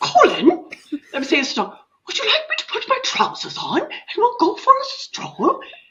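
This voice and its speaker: A playful, put-on character voice with an English accent squeaks at an extremely high pitch, swinging very widely in pitch at a moderate pace. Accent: English, exaggerated. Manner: playful, mock-posh.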